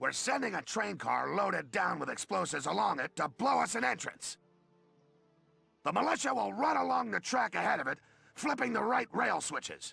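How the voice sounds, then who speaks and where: A man puts on a raspy character voice, fairly high in pitch, at a moderate pace. Faint music plays in the background. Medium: video game. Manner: pompous, condescending.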